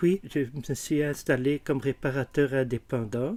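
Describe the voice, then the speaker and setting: Fairly high-pitched for a man, his voice has a dark, mellow tone, ordinary pitch variation and a fairly slow pace. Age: 70s. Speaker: retired watchmaker. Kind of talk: testimony.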